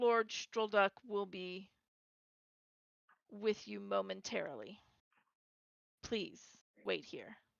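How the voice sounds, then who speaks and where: Raspy and in a put-on character voice, the speaker moves at a very slow pace with long, frequent pauses and big swings in loudness. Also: woman, medium pitch for a woman. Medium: actual play. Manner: formal, brief.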